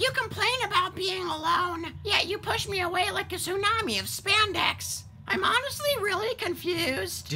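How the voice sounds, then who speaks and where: The speech moves at a moderate pace with hardly any pauses. Background noise can be clearly heard. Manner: whiny, exasperated.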